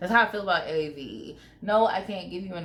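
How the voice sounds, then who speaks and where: Her tone is animated and her pitch variation ordinary, and the woman's voice carries audible room echo. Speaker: YouTuber. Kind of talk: casual vlog commentary.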